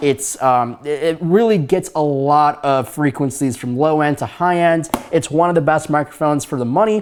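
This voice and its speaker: With a plain, everyday voice, a man talks at a moderate pace and fairly high pitch, showing ordinary pitch variation. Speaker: YouTube tech reviewer. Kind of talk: product review. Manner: casual, with many fillers.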